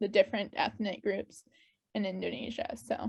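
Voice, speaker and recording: A normal speaking voice with an American accent talks at a moderate pace, its intonation fairly even. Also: woman. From US Pacific Northwest, Spokane, Washington. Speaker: exchange program alumna. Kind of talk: interview.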